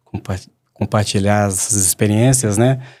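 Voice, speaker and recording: This man has a Minas Gerais accent and a fairly low pitch. He speaks at a fairly quick pace. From Minas Gerais, Belo Horizonte. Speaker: mining company executive. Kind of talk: panel podcast conversation.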